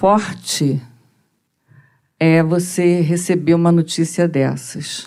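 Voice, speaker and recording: A woman speaks very slowly, her fairly low voice dark and mellow, with fairly even intonation. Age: 60s. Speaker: audience member, mental health professional. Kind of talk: audience question.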